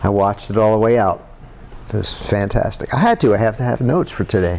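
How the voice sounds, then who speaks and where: Noticeable background noise sits under the voice. A man with a fairly low pitch talks at a fairly quick pace. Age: 60s. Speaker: musician. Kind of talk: casual chat.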